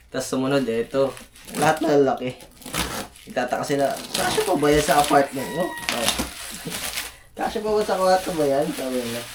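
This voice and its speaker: Amid noticeable background noise, a man talks at a moderate pace with a fairly high pitch. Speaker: vlogger and video editor. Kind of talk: casual vlog. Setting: home apartment.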